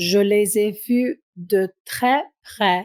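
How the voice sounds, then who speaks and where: A woman talks at a medium pitch with ordinary pitch variation, the sound dry and close with no echo. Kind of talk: audiobook reading. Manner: slow, clear.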